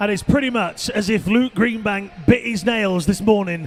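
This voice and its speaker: Over noticeable background noise, a man with a high voice and a British accent talks at a moderate pace with ordinary pitch variation. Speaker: swimming commentator. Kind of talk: live commentary. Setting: aquatic centre with crowd. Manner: animated.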